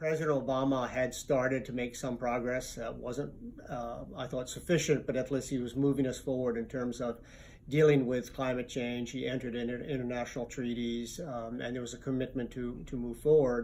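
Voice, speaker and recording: A man's medium-pitched voice at a fairly quick pace, flat and monotone in intonation. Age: 60s. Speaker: environmental advocacy lawyer. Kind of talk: interview. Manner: hesitant, many fillers.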